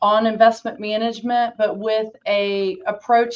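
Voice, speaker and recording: A woman with a slight Southern US accent at a fairly slow pace. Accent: slight Southern twang. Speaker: financial planning director, exit planning advisor. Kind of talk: panel introduction.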